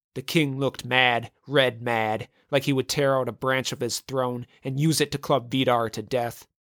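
The clip is plain reading aloud. Its intonation remains fairly even.

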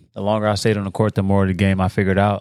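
Against a silent background in a very clean recording, a man with an American accent speaks at a fairly low pitch. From Watts, Los Angeles, California. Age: 30s. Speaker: basketball player. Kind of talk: casual chat. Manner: laid-back.

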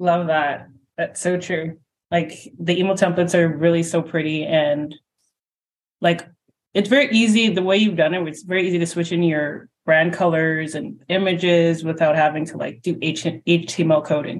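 A woman with a plain, everyday voice speaks at a moderate pace, her pitch fairly low and her intonation fairly even. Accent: Canadian. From Canada. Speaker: podcast host. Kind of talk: interview.

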